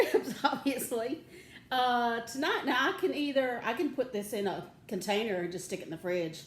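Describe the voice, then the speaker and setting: A woman's fairly high voice with very wide pitch swings and an animated tone, at a moderate pace, with audible room echo and noticeable background noise. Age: 60s. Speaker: home cooking show host. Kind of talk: cooking tutorial.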